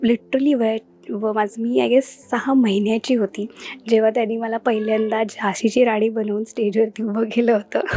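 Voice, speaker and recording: A woman with a fairly high pitch is heard over noticeable background noise. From Mumbai, India. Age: 20s. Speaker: film industry newcomer. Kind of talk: interview.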